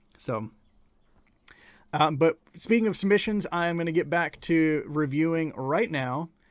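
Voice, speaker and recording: A man talks with an American accent and lively intonation. The recording is very clean, with a silent background. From rural Ohio, US Midwest. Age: 20s. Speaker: music reviewer and livestreamer. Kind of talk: casual livestream chat with audience. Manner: halting, many fillers.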